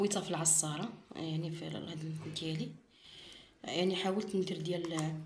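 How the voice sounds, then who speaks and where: Amid noticeable background noise and audible room echo, a woman speaks at a moderate pace in a fairly low pitch with monotone, flat intonation. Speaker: cooking and home remedy vlogger. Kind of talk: tutorial. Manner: halting, self-correcting.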